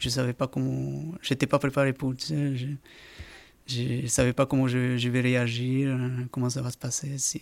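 With fairly even intonation, a man at a medium pitch speaks at a moderate pace. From South America, Andean country coast. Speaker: amateur marathon runner. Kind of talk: casual interview. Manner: halting, repeats words.

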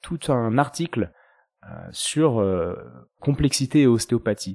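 A man speaks in a dark, mellow tone with lively intonation. The recording is very clean with a silent background and a dry, close sound with no echo. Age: 30s. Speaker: osteopath and podcast host. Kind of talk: interview answers, casual chat. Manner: hesitant, many fillers and repetitions.

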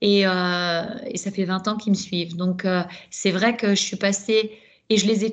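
A quiet background behind a woman at medium pitch, very slow in pace, with fairly even intonation. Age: 50s. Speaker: ultrarunner. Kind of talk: casual chat.

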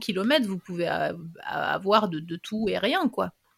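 A woman's voice is heard with a dry, close sound and no echo. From France, Ardennes (north-east). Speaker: podcast host. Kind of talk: casual interview chat.

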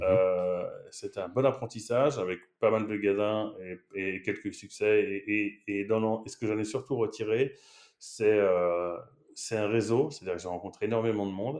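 A man with a fairly low pitch and ordinary pitch variation talks at a fairly slow pace against a quiet background. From France, Paris. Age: 30s. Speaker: marketing executive. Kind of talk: interview. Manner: animated.

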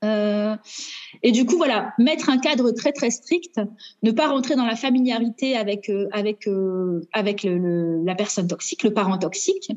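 At a fairly slow pace, a woman speaks in a fairly high voice with lively intonation. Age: 30s. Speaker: teacher sharing divorce experience. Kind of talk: testimony. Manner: halting.

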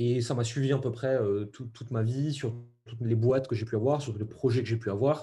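Speaking at a fairly quick pace, a man uses a medium pitch and a monotone, flat intonation. His tone is dark and mellow, and somewhat breathy. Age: 30s. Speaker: entrepreneur. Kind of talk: interview.

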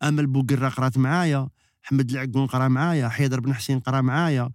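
The speech moves at a fairly quick pace in an Algiers accent. The recording is very clean, with a silent background. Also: man. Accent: Algiers Algerian Arabic with French. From Algeria, Algiers. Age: 50s. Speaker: actor. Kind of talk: casual chat. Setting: studio.

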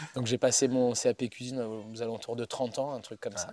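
Over a silent background in a very clean recording, a man speaks at a moderate pace. His medium-pitched voice has a dark, mellow tone. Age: 40s. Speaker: chef and pizza maker. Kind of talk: casual interview. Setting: outdoors in the woods.

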